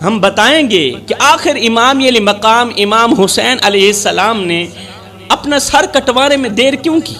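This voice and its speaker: Against music in the background, a man with an extremely high pitch uses a raised, projected voice with ordinary pitch variation. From Pakistan. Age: 30s. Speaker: preacher. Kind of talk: sermon. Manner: impassioned.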